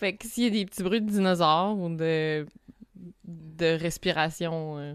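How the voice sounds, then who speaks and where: Talking at a fairly slow pace, a woman with a Quebec accent has a fairly low pitch, ordinary pitch variation and big swings in loudness. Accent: Québécois French. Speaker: podcast host. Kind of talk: casual chat. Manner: hesitant, many fillers.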